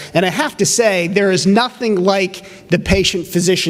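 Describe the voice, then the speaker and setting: A man speaks at a high pitch. Noticeable background noise and audible room echo surround him. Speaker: representative of a physicians' association. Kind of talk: conference presentation. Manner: fast.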